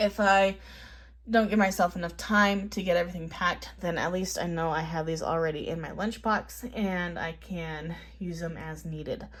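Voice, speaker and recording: Moderately paced speech from a woman, somewhat breathy. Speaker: health vlogger. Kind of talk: casual vlog talk. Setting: in a car.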